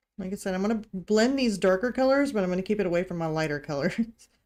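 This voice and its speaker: A woman's medium-pitched voice, dark and mellow in tone, with a slight Missouri accent, on a very clean recording with a silent background. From US Midwest, Missouri. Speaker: artist. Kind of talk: live-stream art tutorial. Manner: casual, chatty.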